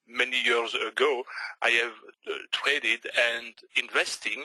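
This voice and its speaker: A man speaks with a Belgian French accent at medium pitch. His tone is bright and sharp, the sound dry and close with no echo. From Belgium. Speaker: forex trader. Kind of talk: webinar presentation. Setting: online webinar. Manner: hesitant, many fillers.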